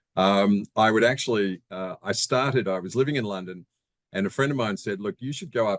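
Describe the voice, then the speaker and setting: With an Australian accent, a man talks at a fairly low pitch against a quiet background. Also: dry, close sound with no echo. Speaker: real estate investor. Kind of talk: interview. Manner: hesitant, many fillers.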